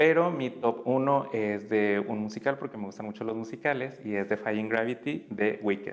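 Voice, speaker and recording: A plain, everyday voice from a man, medium in pitch, moderately paced, with ordinary pitch variation. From Tamaulipas, Mexico. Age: 30s. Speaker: former community educator. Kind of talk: interview.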